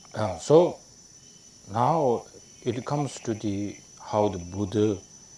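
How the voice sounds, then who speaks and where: Speaking with a Tibetan accent, a man uses a fairly low pitch and lively intonation at a very slow pace. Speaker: Tibetan Buddhist lama teacher. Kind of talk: dharma teaching. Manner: halting, many fillers.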